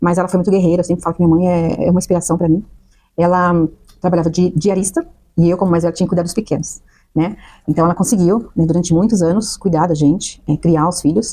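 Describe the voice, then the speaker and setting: This woman speaks very fast in a dark, mellow tone with fairly low pitch. Her intonation is monotone and flat, and her loudness stays very even. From Brazil, São Paulo. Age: 40s. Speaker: nurse. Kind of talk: interview, life story testimony.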